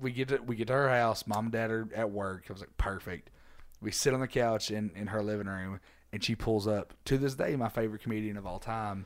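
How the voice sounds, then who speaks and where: The recording is very clean with a silent background, carrying a man with an unremarkable speaking voice. He talks fairly quickly at a fairly low pitch with fairly even intonation. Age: 20s. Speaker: comedian. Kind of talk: casual chat.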